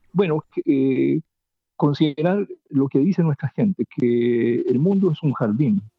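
A man's fairly high voice with lively intonation, very even loudness and a very slow pace. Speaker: poet and writer. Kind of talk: interview.

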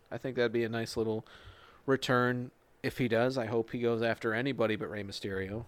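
Flat and monotone, a man's voice rises and falls very little. He talks at a fairly quick pace. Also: medium pitch for a man. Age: 20s. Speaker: wrestling podcast host. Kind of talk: casual chat.

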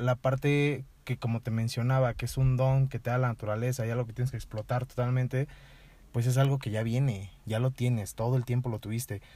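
A man talks at medium pitch and a moderate pace in a monotone, flat delivery. His dark, mellow tone is somewhat breathy, and the recording is very clean with a silent background. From Mexico, Toluca. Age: 20s. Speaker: writer. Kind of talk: casual interview chat. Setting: in person.

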